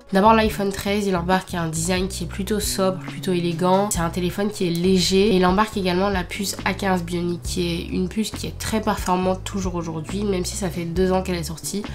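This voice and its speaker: A woman talking with hardly any pauses, in a room with audible echo. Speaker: tech YouTuber. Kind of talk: product review. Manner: casual, hesitant with fillers.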